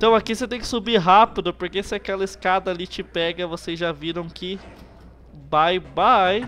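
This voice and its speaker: With a Brazilian accent, a man speaks at a moderate pace in a high, bright, sharp voice with ordinary pitch variation. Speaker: gaming youtuber. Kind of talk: let's play commentary. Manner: animated.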